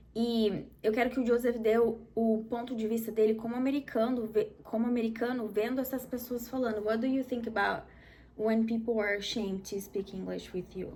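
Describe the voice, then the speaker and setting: Somewhat breathy and dark, mellow in tone, this voice carries a Brazilian accent and monotone, flat intonation. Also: woman, fairly high pitch for a woman, moderate pace. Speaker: English teacher, video host. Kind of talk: casual educational chat.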